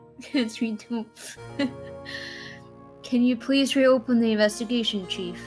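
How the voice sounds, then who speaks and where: The voice is monotone with flat intonation. Music plays in the background. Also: woman. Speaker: gamer voicing characters while playing.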